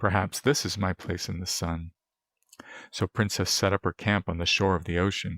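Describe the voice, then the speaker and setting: Very deep and low, a man's raspy voice comes through on a very clean recording with a silent background and a dry, close sound with no echo. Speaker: ASMR roleplay performer. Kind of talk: bedtime story read.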